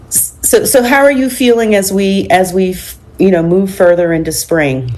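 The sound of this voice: A woman with a medium pitch speaks at a moderate pace, her voice croaky with a slightly mellow tone. Her pitch shows ordinary variation.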